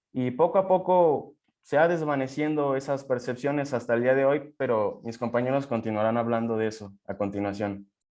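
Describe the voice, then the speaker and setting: This man has a normal speaking voice at medium pitch, talking at a moderate pace with ordinary pitch variation and hardly any pauses. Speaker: student presenter. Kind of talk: seminar presentation.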